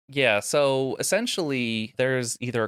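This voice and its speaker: An ordinary speaking voice at a moderate pace, recorded very cleanly against a silent background with a dry, close sound and no echo. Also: man. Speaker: podcast host. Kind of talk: casual political commentary, sarcastic. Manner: sarcastic, deadpan.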